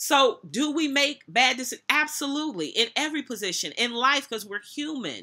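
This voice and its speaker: The tone is bright and sharp. The background is quiet. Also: woman. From United States. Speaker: minister and motivational speaker. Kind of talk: sermon-style commentary to camera, reading scripture and preaching. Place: office. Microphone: webcam.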